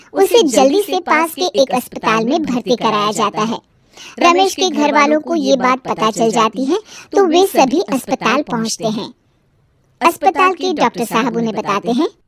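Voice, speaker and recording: Putting on a cartoonish character voice, a woman speaks at a high pitch and a moderate pace with very wide pitch swings, in a dry, close recording with no echo. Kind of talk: moral story narration. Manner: steady, explanatory.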